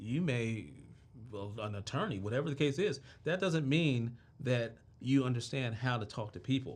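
Speaking in an American accent, a man with a somewhat breathy voice and medium pitch keeps a moderate pace. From Washington DC (Southeast). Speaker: entrepreneur. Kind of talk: interview.

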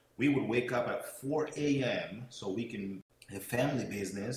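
Noticeable background noise sits behind a man with a Portuguese accent. His pitch is medium and varies in an ordinary way. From São Tomé and Príncipe, West Africa (Portuguese-speaking). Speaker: network marketing speaker and mentor. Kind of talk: motivational talk. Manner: hesitant, many fillers.

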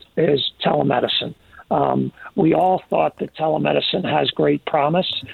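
The speech runs at a moderate pace over noticeable background noise. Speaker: health insurance executive. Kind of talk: interview. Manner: calm; halting.

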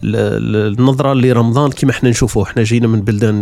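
The man moves at a fairly quick pace, his medium pitch showing ordinary variation. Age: 40s. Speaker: podcaster. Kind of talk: solo podcast monologue. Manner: casual conversational.

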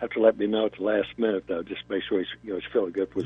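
A man speaks at a medium pitch. Music can be heard behind him. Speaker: race event organizer. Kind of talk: casual chat. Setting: phone call.

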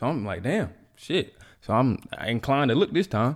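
A man speaks in an animated tone. The recording is very clean, with a silent background. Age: 20s. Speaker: podcast host, college student. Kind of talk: casual monologue. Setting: home video recording.

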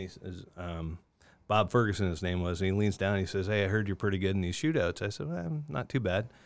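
A plain, everyday voice with ordinary pitch variation, in a very clean recording with a silent background. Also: man. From Niagara Falls, Ontario, Canada. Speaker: former pro hockey player. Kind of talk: casual chat.

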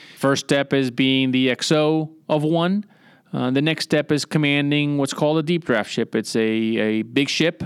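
In an ordinary speaking voice, a man talks at a fairly high pitch and fairly slow pace, with ordinary pitch variation and very even loudness, on a very clean recording with a silent background and a dry, close sound with no echo. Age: 40s. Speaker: navy officer. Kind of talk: interview.

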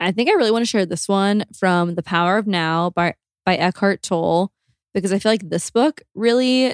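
A woman with an unremarkable speaking voice talks at a moderate pace with ordinary pitch variation. The recording is very clean, with a silent background and dry, close sound with no echo. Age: 20s. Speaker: podcast co-host. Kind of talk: casual chat.

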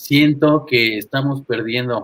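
Here a man talks at a fairly slow pace in a fairly high pitch. He has a normal speaking voice. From Toluca, central Mexico (born in Monterrey). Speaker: jazz saxophonist. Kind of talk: casual interview chat.

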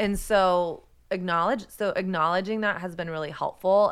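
This woman has an American accent and a plain, everyday voice. Her pitch is medium, with ordinary variation. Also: very clean recording, silent background. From Texas. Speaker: podcast host, author and photographer. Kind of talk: interview conversation.

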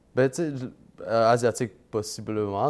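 A man's unremarkable speaking voice at medium pitch and a fairly slow pace. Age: 20s. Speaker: part-time real estate investor and banker. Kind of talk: casual interview.

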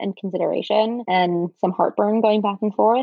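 A woman with an ordinary speaking voice, medium pitch, fairly even intonation and a fairly quick pace. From New York area. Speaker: marketing professional. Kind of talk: interview.

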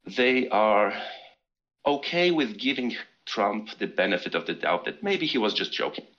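A man's medium-pitched voice in a Polish accent, at a moderate pace, with very wide pitch swings. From Poland. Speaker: caller. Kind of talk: call-in conversation.

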